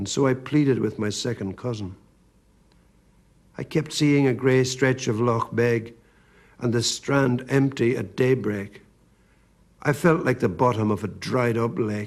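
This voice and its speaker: A man with a Northern Irish accent at a medium pitch, a fairly slow pace, ordinary pitch variation and long, frequent pauses. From Northern Ireland. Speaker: poet. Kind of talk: poetry reading.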